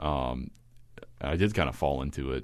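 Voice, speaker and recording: A man speaks with an American accent and vocal fry. The background is quiet. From Kentucky, small manufacturing town. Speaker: composer and classical radio announcer. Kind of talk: podcast interview.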